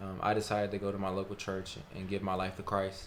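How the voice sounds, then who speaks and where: With a Southern US accent and a fairly low pitch, a man speaks amid audible room echo. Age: 20s. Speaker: college student. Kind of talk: testimony.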